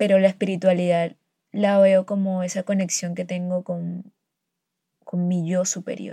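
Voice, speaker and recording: A woman with a medium pitch speaks fairly slowly in a dark, mellow, somewhat breathy tone with monotone, flat intonation. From Colombian Caribbean coast, near Barranquilla. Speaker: podcaster. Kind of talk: personal monologue. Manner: hesitant, many fillers.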